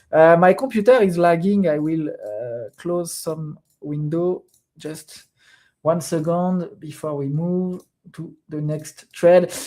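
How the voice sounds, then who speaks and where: Someone speaks with a French accent. The pace is very slow. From France. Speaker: crypto trader streamer. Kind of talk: live stream commentary. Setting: live stream at computer. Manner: hesitant, many fillers.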